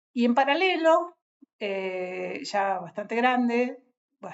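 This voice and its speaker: Her pitch fairly high, a woman talks at a very slow pace. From Argentina, Patagonia (Bariloche). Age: 60s. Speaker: writer. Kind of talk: casual talk to an audience. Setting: on a trip in a city. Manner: halting, many fillers.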